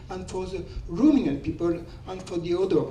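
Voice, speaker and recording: A man with a high voice speaks amid noticeable background noise, with audible echo in the room. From France. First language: French. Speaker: audience member. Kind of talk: audience question at conference. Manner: halting.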